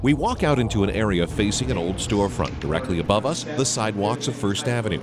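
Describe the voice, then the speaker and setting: Music plays in the background as a man talks at a very fast pace in a fairly low pitch. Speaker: radio news reporter. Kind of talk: news feature narration.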